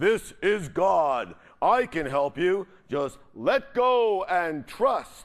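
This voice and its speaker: Using a put-on character voice, a man speaks very slowly in a high, resonant tone. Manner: commanding, resonant.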